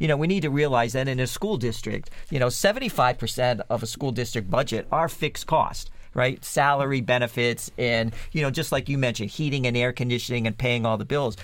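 A man speaks in a plain, everyday voice at a medium pitch. The recording is very clean, with a silent background. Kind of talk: radio panel discussion.

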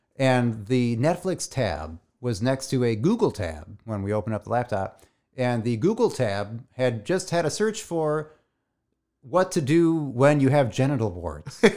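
A man talks at a fairly slow pace with medium pitch and very wide pitch swings, recorded very cleanly against a silent background. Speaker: podcast co-host. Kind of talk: casual chat.

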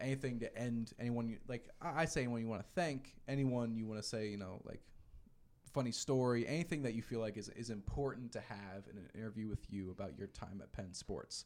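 A man with an American accent and an ordinary speaking voice, in a medium pitch with ordinary pitch variation. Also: fairly quick pace. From Philadelphia. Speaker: student podcast host. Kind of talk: casual interview. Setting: studio.

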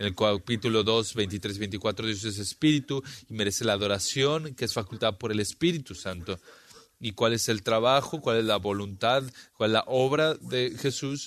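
Speaking at a moderate pace, a man with a plain, everyday voice holds a medium pitch with ordinary pitch variation. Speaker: Bible teacher. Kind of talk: Bible study lecture.

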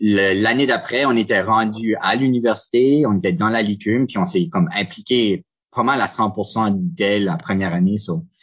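At a fairly slow pace and very even loudness, a man with an unremarkable speaking voice speaks at a medium pitch with lively intonation. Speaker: improviser and referee. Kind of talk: casual interview.

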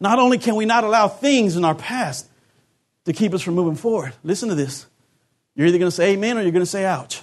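A high-pitched, animated man at a very fast pace, with lively intonation. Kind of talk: sermon. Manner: animated call-and-response preaching, urging the congregation to answer; emphatic, repeating key phrases for effect.

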